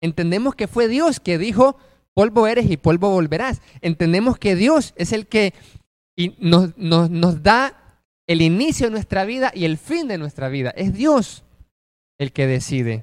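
A high-pitched man at a fairly slow pace, with very wide pitch swings, in a dry, close sound with no echo. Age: 20s. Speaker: preacher. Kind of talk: sermon.

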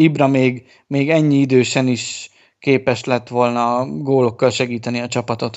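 The speaker talks at a fairly slow pace. It is a plain, everyday voice. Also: man. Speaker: sports betting podcast host. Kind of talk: casual chat.

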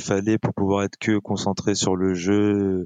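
Fairly slow pace in an unremarkable speaking voice. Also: man. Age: 30s. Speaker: esports player. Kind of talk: casual chat.

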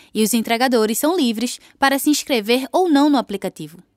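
A woman speaks at a fairly quick pace in a high pitch on a very clean recording with a silent background. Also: dry, close sound with no echo. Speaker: radio host. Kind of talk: scripted radio narration. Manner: animated.

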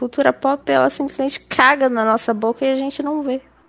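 Speaking at a fairly quick pace with fairly even intonation, a woman's high-pitched voice comes across dry and close, with no echo. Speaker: podcast co-host. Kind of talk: casual chat; show outro.

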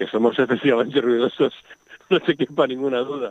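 The man's medium-pitched voice moves along fairly quickly. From Madrid, Spain. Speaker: nature sound recordist and author. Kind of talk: radio interview.

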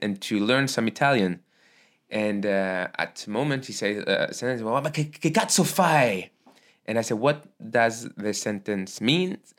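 A man with a French accent speaks at a medium pitch with ordinary pitch variation. The recording is very clean, with a silent background. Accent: mild French-accented English. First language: Arabic. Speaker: podcast host and stand-up comedian. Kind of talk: casual chat. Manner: halting.

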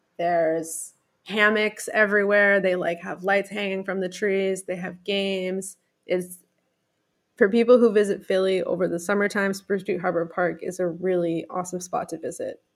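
Using monotone, flat intonation, a woman with an American accent speaks at medium pitch and a moderate pace. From US, rural Pennsylvania. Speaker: travel guest, former Philadelphia resident. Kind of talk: casual interview.

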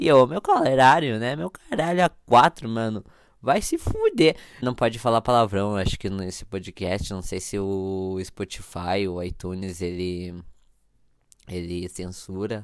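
A man with a fairly low pitch speaks at a fairly slow pace. His intonation is lively, with big swings in loudness. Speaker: podcast host. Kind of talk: casual solo podcast monologue. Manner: animated.

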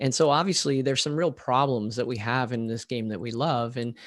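A man with a plain, everyday voice talks at a medium pitch and moderate pace. His pitch variation is ordinary, and the recording is very clean with a silent background. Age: 40s. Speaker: podcast host. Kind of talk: interview.

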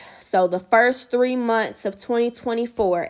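A woman with an American accent speaks at a fairly slow pace, with ordinary pitch variation, in an ordinary speaking voice. The recording is very clean and the background silent. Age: 20s. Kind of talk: devotional teaching monologue.

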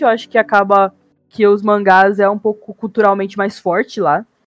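With music in the background, a woman speaks at medium pitch in a dry, close sound with no echo. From Japan (childhood), then Brazil. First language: Japanese (speaking Portuguese). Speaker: podcast guest. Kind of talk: casual chat.

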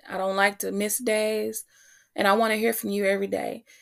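In a very clean recording with a silent background, a woman with a medium pitch talks at a moderate pace in an animated tone. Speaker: podcast and web radio host. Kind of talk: warm motivational pep talk, heartfelt and sincere, like a personal sermon. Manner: animated, encouraging, earnest, direct address to listeners.

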